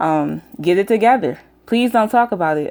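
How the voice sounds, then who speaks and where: With an American accent, a woman talks at a fairly quick pace in a dark, mellow tone. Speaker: YouTube commentator. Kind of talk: casual vlog rant. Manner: frequent fillers (um).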